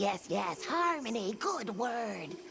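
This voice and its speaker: Set against clear background noise, a put-on character voice comes through at a fairly high pitch. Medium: machinima. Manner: quaint broken speech.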